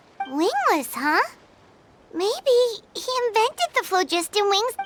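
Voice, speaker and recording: Fairly slow pacing in an extremely high-pitched, put-on character voice. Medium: video game.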